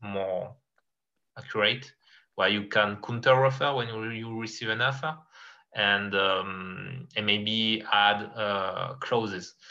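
A man with a French accent, medium in pitch, bright and sharp in tone, at a fairly slow pace. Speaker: guest, Marseille fan and game player. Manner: halting, searching for words.

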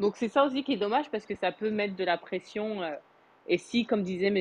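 A woman speaks at a medium pitch. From France. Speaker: Clubhouse participant, mother. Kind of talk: casual chat.

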